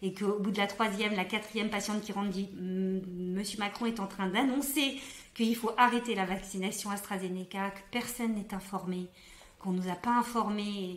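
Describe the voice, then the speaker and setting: A woman's medium-pitched voice, with fairly even intonation, comes through noticeable background noise. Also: moderate pace. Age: young. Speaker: doctor. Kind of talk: interview answer.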